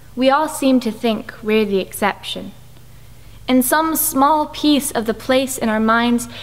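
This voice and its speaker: At a fairly slow pace, a woman speaks in a plain, everyday voice, fairly high in pitch, with ordinary pitch variation. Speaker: spoken word poet. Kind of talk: spoken word poetry performance.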